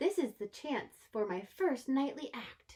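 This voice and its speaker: In a put-on character voice, a woman speaks high-pitched and gentle in tone at a fairly slow pace. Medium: read story. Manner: gentle, polite.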